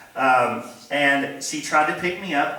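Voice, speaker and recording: A man speaks at a very slow pace with ordinary pitch variation. Noticeable background noise and audible room echo can be heard. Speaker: guest speaker at church. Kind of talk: sermon.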